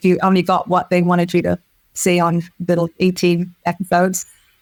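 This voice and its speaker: With an English accent, a woman speaks at a fairly quick pace and fairly low pitch, recorded with a dry, close sound and no echo. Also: very even loudness. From England, village. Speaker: film producer. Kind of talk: interview. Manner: animated; halting.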